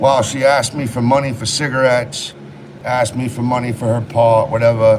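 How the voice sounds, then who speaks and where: With a New England accent, a man speaks at a medium pitch through noticeable background noise. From Maine, US (Rockland area). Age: 30s. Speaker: livestreamer and home renovation contractor. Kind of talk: casual livestream chat. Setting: live stream at a renovation job site.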